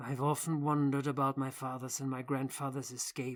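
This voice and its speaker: A woman speaks in a put-on character voice. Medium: read story. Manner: proud, formal.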